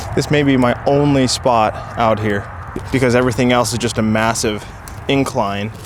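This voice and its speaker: In a room with audible echo and noticeable background noise, a man speaks at a moderate pace with medium pitch, fairly even intonation and very even loudness. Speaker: outdoor vlogger. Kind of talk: casual vlog narration. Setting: outdoors on a hilltop. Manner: quiet, hushed.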